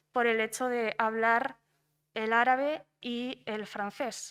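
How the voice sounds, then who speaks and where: A woman's flat, monotone delivery on a very clean recording with a silent background. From Spain. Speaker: doctoral researcher. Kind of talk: conference panel talk. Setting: conference round table. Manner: hesitant, many fillers and repetitions.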